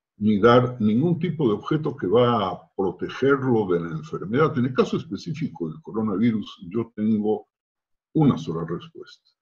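A somewhat breathy voice with very wide pitch swings, speaking at a fairly slow pace. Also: man. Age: old. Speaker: rabbi. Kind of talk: interview testimony. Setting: video call.

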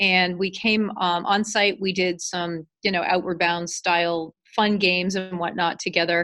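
At a fairly slow pace with hardly any pauses, a woman speaks in a bright, sharp tone with monotone, flat intonation. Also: medium pitch for a woman. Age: 40s. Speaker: family business owner. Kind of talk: interview.

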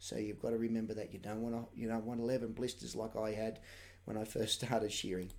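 In an Australian accent, a man speaks at a very fast pace with monotone, flat intonation. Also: medium pitch for a man. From Australia, New South Wales. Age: 40s. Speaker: shearer. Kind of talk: live-stream tutorial. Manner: casual, hesitant with many fillers.

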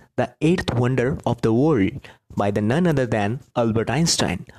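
A man with an Indian accent speaks at a moderate pace. His medium pitch carries lively intonation. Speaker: podcaster, book storyteller. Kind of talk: solo storytelling podcast. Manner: halting, with repetitions.

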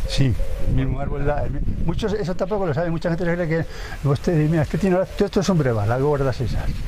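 A man with a high pitch and lively intonation talks very fast in audible room echo, with noticeable background noise behind him. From Spain, Segovia province. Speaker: retired urban gardener. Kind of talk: casual interview.

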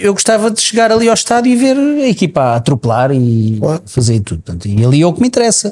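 Talking very fast with hardly any pauses, a man uses a high pitch. His pitch swings very widely. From Portugal. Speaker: podcast co-host. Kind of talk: casual chat.

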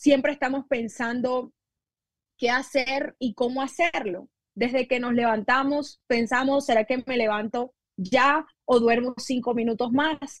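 A woman with a high pitch talks at a fairly slow pace and with fairly even intonation, the sound dry and close with no echo. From Colombian Caribbean coast, La Guajira. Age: 20s. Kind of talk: sermon. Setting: video podcast.

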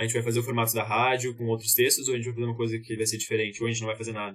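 A man speaks very fast in a somewhat breathy voice with monotone, flat intonation. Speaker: actor. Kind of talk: casual chat.

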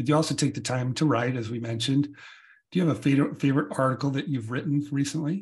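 With an American accent, a man speaks in a somewhat breathy voice of medium pitch and ordinary pitch variation. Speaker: podcast host. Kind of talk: casual interview. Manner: halting, with fillers.

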